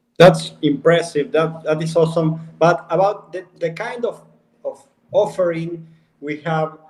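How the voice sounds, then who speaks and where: A man speaks with an Argentine accent and a high pitch. His pace is fairly slow and his intonation fairly even. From Argentina, Buenos Aires. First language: Spanish. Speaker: company CEO. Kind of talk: casual live stream chat. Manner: halting.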